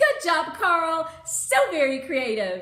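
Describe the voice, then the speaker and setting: Putting on a squeaky character voice at an extremely high pitch, a woman speaks at a very slow pace with lively intonation and audible echo. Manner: cheerfully praising, clapping.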